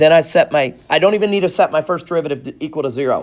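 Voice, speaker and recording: With ordinary pitch variation, a man delivers his speech at a fairly quick pace. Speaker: math teacher. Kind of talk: classroom lecture. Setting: classroom with students. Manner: fast.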